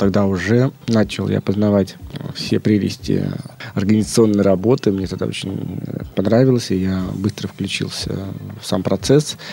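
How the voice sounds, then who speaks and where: A fairly low male voice with long, frequent pauses amid noticeable background noise. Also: ordinary pitch variation, moderate pace. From Leningrad Oblast, Russia. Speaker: head of an ecological foundation. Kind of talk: interview. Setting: studio. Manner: halting.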